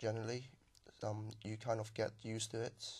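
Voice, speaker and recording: A man speaks in a fairly low pitch. His voice is somewhat breathy. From southern China. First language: Chinese. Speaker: language exam candidate. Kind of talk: speaking exam. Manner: halting.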